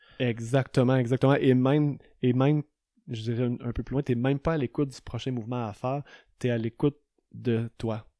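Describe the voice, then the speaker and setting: A man with a medium pitch and a dark, mellow tone speaks at a fairly quick pace in a flat monotone, the sound dry and close with no echo on a very clean recording with a silent background. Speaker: yoga teacher and entrepreneur. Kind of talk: casual chat.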